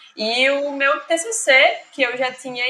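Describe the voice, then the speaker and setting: Against noticeable background noise, a woman speaks at a high pitch with ordinary pitch variation. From Pernambuco, Brazil (Zona da Mata Norte). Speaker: literature graduate. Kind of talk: casual chat.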